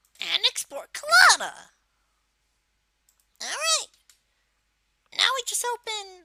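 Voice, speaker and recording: A put-on character voice at an extremely high pitch, delivered at a fairly slow pace with long, frequent pauses. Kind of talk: software tutorial narration. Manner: casual, hesitant.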